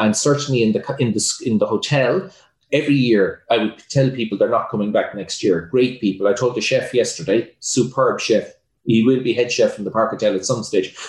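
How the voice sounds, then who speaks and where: Fairly quick speech in an Irish accent. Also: man. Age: 50s. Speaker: entrepreneur and hotelier. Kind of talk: interview.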